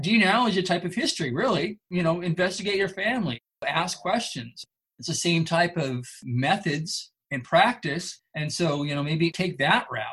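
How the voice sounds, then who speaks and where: Lively intonation and a high pitch mark this man's voice. He talks at a moderate pace with an American accent. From Northern California. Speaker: military historian. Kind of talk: interview.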